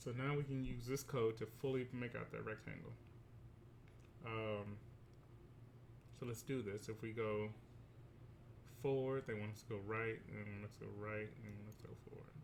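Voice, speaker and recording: There is noticeable background noise behind this man. His intonation is fairly even, broken by long, frequent pauses. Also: medium pitch for a man, moderate pace. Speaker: teacher. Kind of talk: tutorial.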